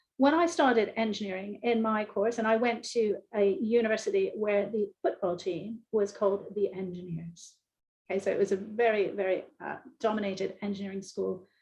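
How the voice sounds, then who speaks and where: A woman speaks at a medium pitch with an American accent. Her voice is somewhat breathy. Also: ordinary pitch variation, moderate pace. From US, Philadelphia. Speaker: engineering professor. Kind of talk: panel discussion. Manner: hesitant, many fillers.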